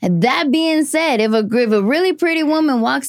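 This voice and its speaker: A woman speaks with lively intonation. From East LA. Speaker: comedian. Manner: laughs a lot.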